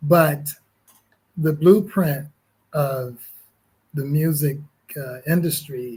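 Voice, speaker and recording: Speaking with an American accent at a very slow pace, a man uses a fairly high pitch, a dark, mellow tone, a somewhat breathy voice, fairly even intonation and long, frequent pauses. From Connecticut, US. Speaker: musician. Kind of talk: interview. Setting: livestreamed podcast.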